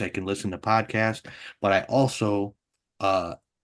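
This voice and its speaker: A man with an American accent talks at a moderate pace in a normal speaking voice. His pitch sits fairly low, and the background is quiet. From Wisconsin. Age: 60s. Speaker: comedian and radio personality. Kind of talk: interview. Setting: live online interview.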